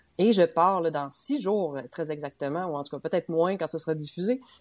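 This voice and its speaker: A woman with a Quebec accent speaks in a very deep, low voice with ordinary pitch variation. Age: 30s. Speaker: podcast co-host, long-distance hiker. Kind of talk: casual chat.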